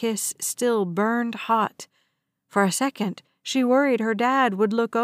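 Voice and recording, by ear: Against a quiet background, the clip is reading aloud in a natural voice.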